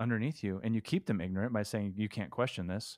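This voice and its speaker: A man with a Californian accent at a medium pitch, very fast pace and ordinary pitch variation, in a dry, close sound with no echo. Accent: Californian American English. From California, Stockton area. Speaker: rock guitarist. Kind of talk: casual interview chat. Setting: remote call from home.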